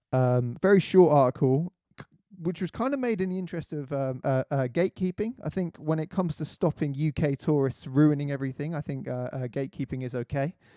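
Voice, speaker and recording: At a fairly quick pace, a man with a fairly high pitch and a dark, mellow tone speaks with ordinary pitch variation in a dry, close sound with no echo. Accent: British. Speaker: radio host, magazine editor. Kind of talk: radio show commentary; reading aloud. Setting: studio, live stream. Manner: halting, many fillers.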